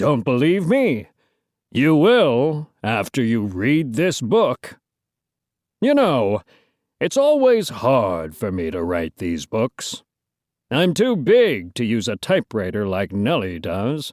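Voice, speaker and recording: Using a put-on character voice at medium pitch, a man talks at a fairly slow pace in a very clean recording with a silent background. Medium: read story. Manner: folksy, drawling.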